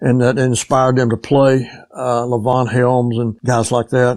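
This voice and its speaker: A man talks with a Southern US accent. He keeps a fairly slow pace and medium pitch. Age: 80s+. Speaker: session drummer. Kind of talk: interview. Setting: remote call. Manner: halting, many fillers.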